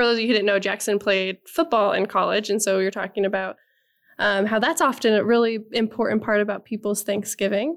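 A woman's medium-pitched voice at a fairly quick pace, with very even loudness throughout. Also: ordinary pitch variation. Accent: Midwestern US. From Nebraska. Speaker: agriculture podcast co-host. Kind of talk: casual chat.

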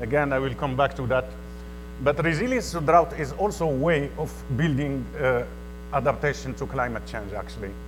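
A man talks at an even, moderate speed while noticeable noise fills the background. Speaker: UN water resource officer. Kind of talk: conference presentation. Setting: stage with audience. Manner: formal.

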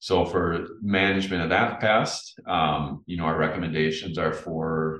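A man with an Upper Midwest accent speaks in a very deep, low voice. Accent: Upper Midwest American. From central Minnesota. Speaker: entomology professor. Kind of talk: interview.

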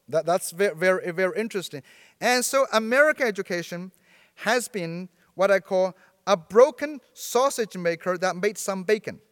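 With a Chinese accent, a man speaks at a moderate pace in a high voice with lively intonation. The sound is dry and close with no echo, and the recording is very clean against a silent background. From China, Sichuan province. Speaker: professor. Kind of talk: lecture.

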